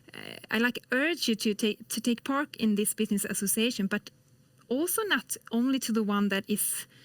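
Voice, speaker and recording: A woman with a Swedish accent talks at a moderate pace in a fairly high pitch with ordinary pitch variation. The sound is dry and close, with no echo. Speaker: industrial policy specialist. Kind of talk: interview. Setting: remote studio.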